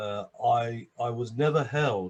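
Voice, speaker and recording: This man's voice sits at a medium pitch. There is some breathiness to it. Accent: London. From London. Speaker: addiction and abuse survivor, speaker. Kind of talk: interview. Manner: halting, many repetitions and fillers.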